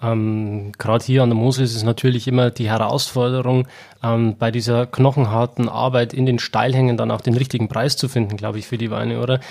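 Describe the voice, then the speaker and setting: In a medium pitch and a monotone, flat intonation, a man speaks at a fairly quick pace. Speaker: podcast host. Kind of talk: interview, wine tasting chat. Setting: at winery.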